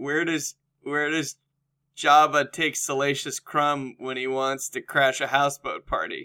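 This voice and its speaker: A man speaking at a fairly slow pace, in a dry, close sound with no echo. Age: 20s. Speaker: podcast co-host. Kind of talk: casual comedic chat.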